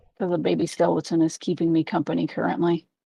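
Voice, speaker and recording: In a raspy, put-on character voice at a middle pitch, the speaker races along at a very fast pace. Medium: machinima. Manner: dry, deadpan.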